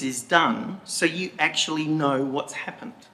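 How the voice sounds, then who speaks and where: Noticeable background noise sits behind a man's voice. His pitch is fairly high and varies an ordinary amount. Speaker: member of the public making a statement. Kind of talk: public statement at council meeting. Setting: council chamber meeting. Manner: deliberately slow.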